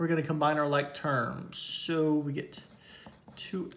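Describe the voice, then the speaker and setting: Monotone, flat intonation from a man with a fairly high pitch, plus audible room echo. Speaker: math teacher. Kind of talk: lecture.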